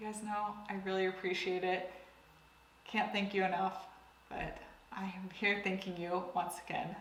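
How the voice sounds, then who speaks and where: Through noticeable background noise and audible room echo, a woman at medium pitch speaks at a moderate pace in a monotone, flat intonation with long, frequent pauses. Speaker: beauty youtuber. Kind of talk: product review monologue.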